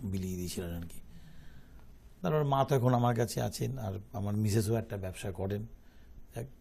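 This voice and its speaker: The man's voice sits fairly low in pitch. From Kolkata, India; India. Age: 60s. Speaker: entrepreneur; guest. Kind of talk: interview. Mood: calm, reflective. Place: studio.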